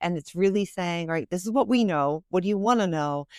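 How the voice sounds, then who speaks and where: A woman speaks in a Philadelphia accent with ordinary pitch variation. The recording is very clean, over a silent background. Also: dry, close sound with no echo. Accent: Philadelphia American. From Philadelphia, US. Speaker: financial planner and author. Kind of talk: podcast interview. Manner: fast.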